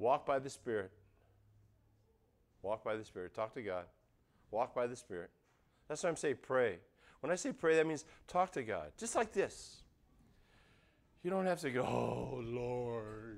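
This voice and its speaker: A man talks loudly in an animated tone, his pitch swinging very widely. He leaves long, frequent pauses. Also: medium pitch for a man, moderate pace. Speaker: pastor. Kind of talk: sermon.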